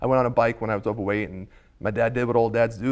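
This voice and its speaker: Very fast and monotone, with flat intonation, a man of medium pitch talks with a New York accent. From Staten Island, New York. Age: 30s. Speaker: talk show guest. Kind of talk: casual chat.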